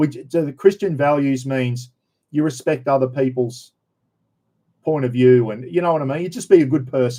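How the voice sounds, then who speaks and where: A man speaks in a dark, mellow tone with an Australian accent. His moderate pace is broken by long, frequent pauses. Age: 60s. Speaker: livestream host. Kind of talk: casual livestream chat.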